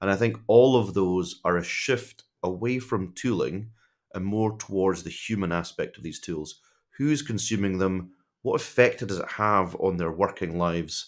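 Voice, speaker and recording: In a Scottish accent, a man with a fairly low pitch and ordinary pitch variation talks at a moderate pace in a very clean recording with a silent background. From Scotland. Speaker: tech executive advisor. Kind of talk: podcast interview. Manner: casual, conversational.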